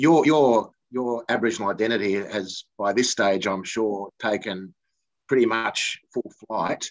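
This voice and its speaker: A man with an Australian accent, fairly slow pace and ordinary pitch variation, quiet background. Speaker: football broadcaster, former player; interviewer. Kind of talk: interview. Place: home room. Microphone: video call.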